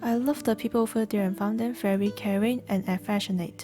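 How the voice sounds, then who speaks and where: Music plays in the background as a woman with a non-native accent speaks with ordinary pitch variation. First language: not English. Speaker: gaming video creator. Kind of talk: first-person character backstory narration.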